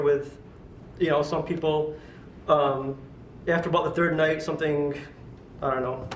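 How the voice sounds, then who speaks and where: With audible room echo and noticeable background noise, a man with a fairly high pitch speaks at a moderate pace in a monotone, flat intonation. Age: 20s. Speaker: workshop participant. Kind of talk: personal introduction.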